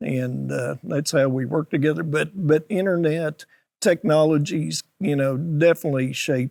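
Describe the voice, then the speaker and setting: At a moderate pace, a man talks in a fairly high pitch with ordinary pitch variation, the sound dry and close with no echo. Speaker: livestock auctioneer. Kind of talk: interview answer. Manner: hesitant, casual.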